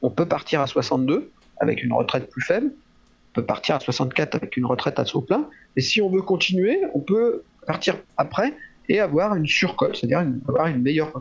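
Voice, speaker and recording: Here a man speaks in a high pitch at a fairly quick pace. His voice makes very wide pitch swings. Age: 60s. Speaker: physiotherapist and trainer. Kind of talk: interview. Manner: halting, many fillers.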